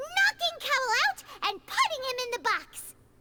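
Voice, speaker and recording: Over loud background music, someone speaks at a moderate pace in a put-on character voice. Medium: video game. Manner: brisk, explanatory.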